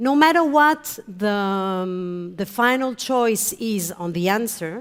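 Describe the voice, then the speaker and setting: Over a silent background in a very clean recording, a woman with a Spanish accent speaks at a very slow pace in a medium pitch with lively intonation. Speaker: HR manager presenter. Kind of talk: conference presentation.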